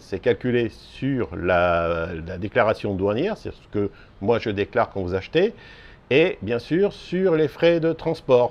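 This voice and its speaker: This man's delivery is very slow. His pitch rises and drops across a very wide span. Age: 60s. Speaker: small e-bike parts seller. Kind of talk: casual explainer video. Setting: outdoors on a terrace.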